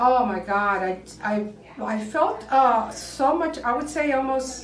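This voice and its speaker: A woman speaks very slowly at a high pitch. Audible room echo and light background noise surround her voice. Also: ordinary pitch variation. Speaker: clinic patient. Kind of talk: interview answer. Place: home room. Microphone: camera far.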